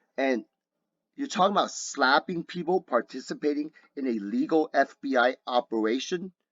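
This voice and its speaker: A man with a plain, everyday voice at a fairly high pitch, lively intonation and moderate pace, the sound dry and close with no echo over a quiet background. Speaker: video blogger. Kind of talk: rebuttal monologue.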